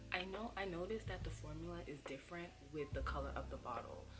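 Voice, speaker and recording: Over background music, a soft-spoken woman talks at a moderate pace. The room echo is audible. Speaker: hair care youtuber. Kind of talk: tutorial. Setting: at home. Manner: soft-spoken, low volume.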